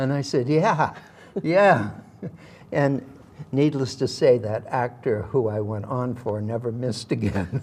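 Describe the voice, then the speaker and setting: Noticeable background noise accompanies a man with a Massachusetts accent at medium pitch and ordinary pitch variation. He speaks at a fairly slow pace with long, frequent pauses. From Massachusetts, Worcester. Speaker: actor. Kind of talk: interview storytelling.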